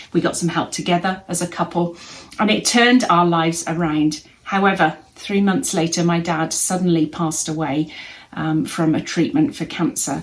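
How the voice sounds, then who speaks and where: A woman speaks with an English accent. Her pitch variation is ordinary. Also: fairly low pitch for a woman, moderate pace. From England. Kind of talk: testimony.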